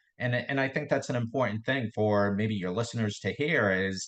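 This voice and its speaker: A man talks at a fairly quick pace with a Boston accent. His pitch is medium, and the background is quiet. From Boston area, Massachusetts. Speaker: real estate investor. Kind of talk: podcast interview. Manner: hesitant, many fillers and repetitions.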